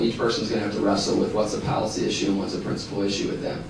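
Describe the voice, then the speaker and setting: A man with an American accent and fairly low pitch, talking very fast, with audible room echo and noticeable background noise. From northern Michigan. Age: 20s. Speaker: state house candidate. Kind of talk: political candidate forum statement. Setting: public forum at a college.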